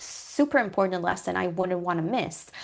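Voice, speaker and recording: A woman speaks with a non-native accent. The background is quiet. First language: not English. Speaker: guest lecturer on coding. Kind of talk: lecture. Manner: hesitant, many fillers.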